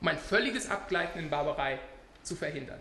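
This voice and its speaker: A man's raised, projected voice with lively intonation, audible room echo and noticeable background noise. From Scotland, Glasgow. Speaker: international law scholar. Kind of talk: lecture. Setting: conference panel with audience.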